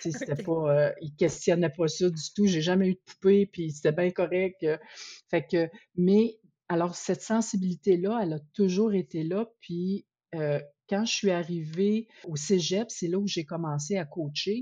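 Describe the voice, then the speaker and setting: A somewhat breathy woman in a Quebec accent talks at a fairly slow pace, her medium pitch showing ordinary pitch variation. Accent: Québécois French. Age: 50s. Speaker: researcher and advocate for women in sport. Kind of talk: interview.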